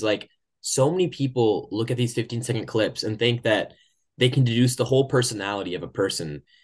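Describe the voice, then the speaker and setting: Over a quiet background, a man with an American accent talks at a fairly quick pace. His medium-pitched voice is somewhat breathy, with ordinary pitch variation. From Oklahoma, US. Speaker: podcast host. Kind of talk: casual interview chat.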